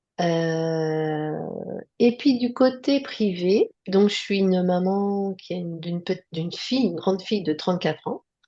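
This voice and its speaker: A woman at medium pitch, ordinary pitch variation and a fairly slow pace. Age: 60s. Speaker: nurse. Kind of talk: interview testimony. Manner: hesitant, many fillers.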